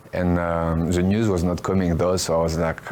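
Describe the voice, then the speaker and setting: Noticeable background noise sits under this man's voice. He speaks at a moderate pace with a very deep, low pitch. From France. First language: French. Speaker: professional fighter. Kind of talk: interview. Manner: hesitant, many fillers.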